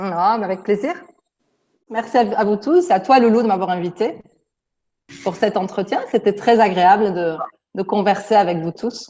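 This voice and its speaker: A woman's dark, mellow tone, broken by long, frequent pauses. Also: medium pitch for a woman, ordinary pitch variation, moderate pace. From France. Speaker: native French speaker interviewed by students. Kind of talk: interview answers. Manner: hesitant, with fillers.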